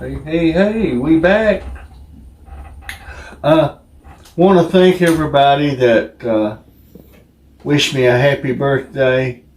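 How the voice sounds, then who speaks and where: Very slow, fairly high-pitched speech from a man, with long pauses coming often. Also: ordinary pitch variation. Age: 60s. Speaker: co-host taste tester. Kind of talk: casual chat.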